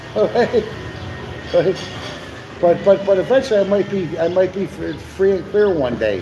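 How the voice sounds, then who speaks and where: A man with a Chicago accent talks at a moderate pace, using a high pitch and ordinary pitch variation. He leaves long, frequent pauses, and there is noticeable background noise. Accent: Chicago American English. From US Midwest, Chicago. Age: 60s. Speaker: live stream co-host. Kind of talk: casual live stream chat. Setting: cafe. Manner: animated, repetitive with many fillers.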